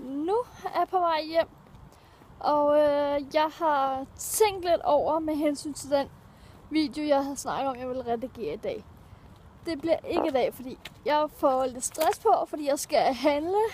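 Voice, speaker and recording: A woman's high-pitched voice at a very slow pace, with ordinary pitch variation, a dry sound with no echo, and light background noise. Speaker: vlogger. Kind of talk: casual vlog chat. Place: street. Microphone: phone near.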